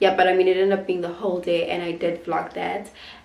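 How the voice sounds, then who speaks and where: Audible room echo surrounds the recording. A woman speaks at medium pitch. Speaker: lifestyle vlogger. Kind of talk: casual vlog talk to camera. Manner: halting, with fillers.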